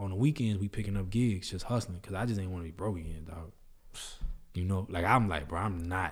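Somewhat breathy and in an American accent, the speech runs at a very fast pace with ordinary pitch variation. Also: man, very deep, low pitch for a man. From New Orleans. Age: 30s. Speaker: video producer and creative entrepreneur. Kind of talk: casual interview chat.

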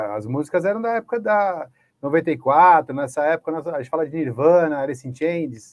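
With a normal speaking voice, a man talks at a fairly high pitch and with ordinary pitch variation. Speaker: educator and training school director. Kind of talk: panel discussion.

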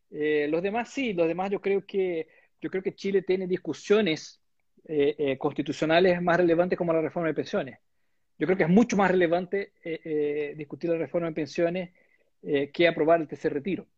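A man speaks in a high voice at a moderate pace, his pitch varying in an ordinary way. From Brazil. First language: Portuguese (speaking Spanish). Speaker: bank investment executive. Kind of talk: interview. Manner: halting.

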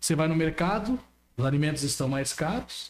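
A man talks in a plain, everyday voice, pitched fairly high and delivered at a moderate pace. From Brazil, São Paulo state. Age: 20s. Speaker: local politician. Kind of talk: political talk on a live stream.

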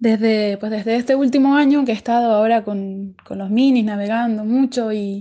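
With a dark, mellow tone, a woman speaks at a fairly high pitch with ordinary pitch variation. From Canary Islands (La Palma), Spain. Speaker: ocean racing sailor. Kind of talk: recorded personal account answering interview questions. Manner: halting, with frequent repetitions and fillers.

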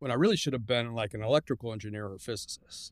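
Fairly even intonation marks this man's medium-pitched voice with an American accent, on a very clean recording with a silent background. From Mexico (Guadalajara) and California. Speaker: engineer. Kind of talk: interview, personal testimony.

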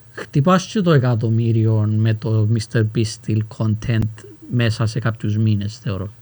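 Somewhat breathy, a man with medium pitch speaks at a very slow pace with ordinary pitch variation. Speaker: rapper and youtuber. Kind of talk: casual chat.

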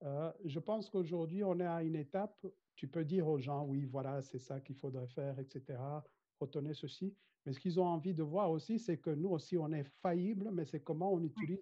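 A man talks at a moderate pace in a Rwandan accent. His pitch is fairly high and varies in an ordinary way. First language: Kinyarwanda (speaking French). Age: 50s. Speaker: corporate trainer and mediator. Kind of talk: interview.

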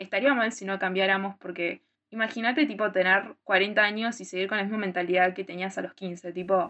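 Talking at a moderate pace, this woman has an unremarkable speaking voice, a medium pitch, and ordinary pitch variation. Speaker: podcast co-host. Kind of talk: casual chat.

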